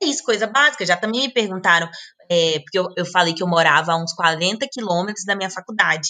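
The voice has a bright, sharp, animated tone, ordinary pitch variation and a fairly quick pace. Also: woman. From Brazil, Brasília. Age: 20s. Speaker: travel blogger and digital nomad. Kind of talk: casual interview chat. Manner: animated, laughing.

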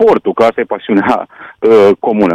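A man with a Hungarian accent, recorded dry and close with no echo. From Romania, Satu Mare county (Hungarian community). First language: Hungarian (speaking Romanian). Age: 60s. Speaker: sports journalist. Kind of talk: radio interview.

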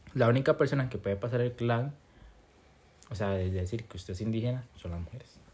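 In a very clean recording with a silent background, a man with a medium pitch and a somewhat breathy voice talks at a fairly quick pace, with big swings in loudness and long, frequent pauses. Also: ordinary pitch variation. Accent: Costa Rican. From Costa Rica, Limón. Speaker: podcast co-host. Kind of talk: casual chat.

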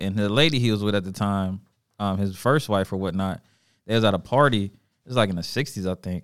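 Speaking with an American accent at a fairly quick pace, a man has a fairly low pitch, ordinary pitch variation and an unremarkable speaking voice in a very clean recording with a silent background. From Charlotte, North Carolina. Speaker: podcast host. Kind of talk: casual chat. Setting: studio.

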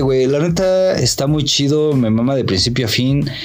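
Amid noticeable background noise and audible room echo, a man talks at a fairly high pitch with ordinary pitch variation. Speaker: podcast co-host. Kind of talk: casual chat.

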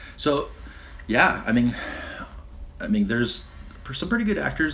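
Audible room echo surrounds a man talking at a moderate pace with very wide pitch swings. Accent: American. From San Diego, California. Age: 40s. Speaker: sailboat captain and Navy veteran. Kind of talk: casual chat.

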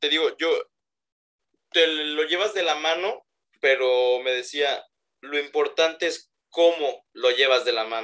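A man with a fairly high pitch and a bright, sharp tone speaks very slowly with ordinary pitch variation and long, frequent pauses. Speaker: podcast co-host. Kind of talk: casual chat. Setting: remote recording.

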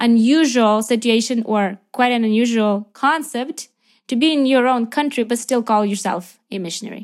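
In a very clean recording with a silent background, a woman with a Ukrainian accent talks at a moderate pace, her fairly high pitch showing ordinary variation. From Ukraine. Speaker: missionary. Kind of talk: interview. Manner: animated.

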